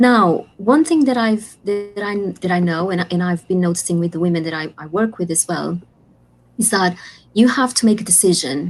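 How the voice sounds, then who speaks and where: A woman's medium-pitched voice with a non-native accent, ordinary pitch variation and a moderate pace, over music in the background. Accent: foreign. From Portugal. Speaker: life coach and author. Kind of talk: interview. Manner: halting.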